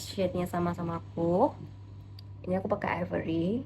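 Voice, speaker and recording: Noticeable background noise sits under a woman talking at a fairly quick pace. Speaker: beauty vlogger. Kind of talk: makeup tutorial. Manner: casual, chatty.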